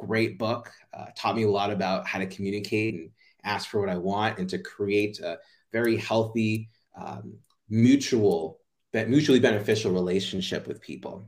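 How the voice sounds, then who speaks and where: A man with an American accent has an ordinary speaking voice, fairly low in pitch with ordinary pitch variation and big swings in loudness. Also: moderate pace. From US, Jamaican family. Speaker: playfulness coach. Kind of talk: interview.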